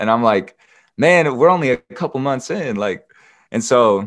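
At a moderate speed, a man talks with lively intonation. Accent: American. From US West Coast, southern Oregon. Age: 20s. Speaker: rapper. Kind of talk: testimony.

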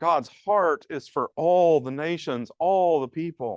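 Speaking very slowly with lively intonation in a Southern US accent, a man is recorded in a dry, close sound with no echo and a quiet background. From US South, rural piney woods. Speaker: pastor. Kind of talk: conference talk. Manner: halting, repeats words.

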